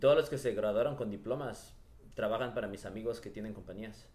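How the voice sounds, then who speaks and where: Medium-pitched male speech in audible room echo. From Los Angeles (Echo Park), Mexican parents. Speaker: real estate entrepreneur. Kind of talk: interview. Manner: halting, with frequent word repetitions.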